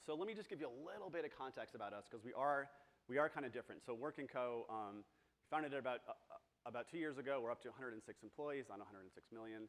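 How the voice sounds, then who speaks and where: The voice rushes along at a very fast pace. Its intonation is lively, and the loudness swings widely. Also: man, medium pitch for a man. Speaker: agency co-founder, conference speaker. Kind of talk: conference talk. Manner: filler-heavy, repeats words.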